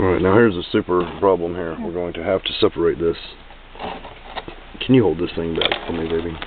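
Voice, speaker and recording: A man with a very deep, low pitch speaks quietly at a fairly quick pace and with fairly even intonation, leaving long, frequent pauses. Noticeable background noise is present. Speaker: tarantula keeper vlogger. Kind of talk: casual video narration. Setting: at home, close to camera. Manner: talking quietly.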